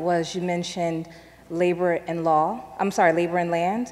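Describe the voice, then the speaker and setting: An unremarkable speaking voice from a woman, fairly low in pitch, at a moderate pace. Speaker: audience member. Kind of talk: audience question. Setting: stage with audience. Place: church. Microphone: handheld.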